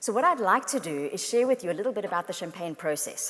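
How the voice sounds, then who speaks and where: A woman of medium pitch speaks in a South African accent with very wide pitch swings, against noticeable background noise. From South Africa and France. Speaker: motivational speaker. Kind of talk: keynote talk. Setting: stage with audience.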